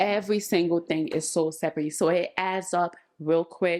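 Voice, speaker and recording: Animated in tone, a woman speaks at a moderate pace with ordinary pitch variation. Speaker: vlogger. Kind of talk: home vlog talking to camera. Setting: at home in kitchen. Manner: chatty, animated.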